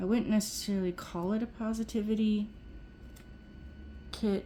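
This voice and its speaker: Somewhat breathy, a woman's voice carries a dark, mellow tone. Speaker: nail art youtuber. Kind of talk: tutorial. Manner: monotone; halting.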